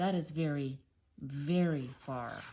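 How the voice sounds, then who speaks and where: A put-on character voice in a gentle tone at a low-to-middle pitch. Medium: read story. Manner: gentle, affectionate.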